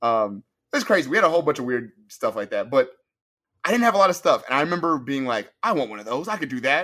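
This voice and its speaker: On a very clean recording with a silent background, a man speaks very fast in a fairly high, bright, sharp tone, with very wide pitch swings and big swings in loudness. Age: 20s. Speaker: podcast co-host. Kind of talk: casual chat.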